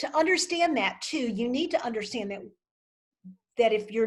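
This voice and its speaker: Here a woman uses a normal speaking voice, fairly high in pitch. Her intonation is lively. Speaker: wardrobe consultant. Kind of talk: virtual workshop Q&A.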